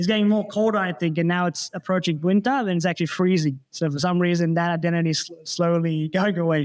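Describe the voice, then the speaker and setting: Talking at a very fast pace with hardly any pauses, a man with a high pitch keeps his intonation fairly even on a very clean recording with a silent background. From Sydney, Australia. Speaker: IT consultant, church youth ministry member. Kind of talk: casual interview chat.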